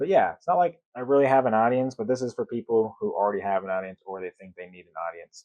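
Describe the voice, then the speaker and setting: A man talks at a very fast pace with hardly any pauses. His loudness swings a lot. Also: medium pitch for a man. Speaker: content creator. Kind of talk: casual vlog talk. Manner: monotone, not very expressive.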